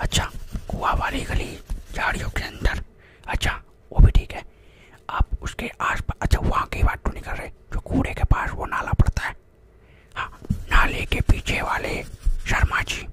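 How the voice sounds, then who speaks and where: Soft-spoken and at a fairly slow pace, a man talks with long, frequent pauses, his sound dry with no echo amid loud background noise. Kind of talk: playful role-play talk, ASMR-like. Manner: soft close-mic ASMR speech. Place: home room. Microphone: studio mic.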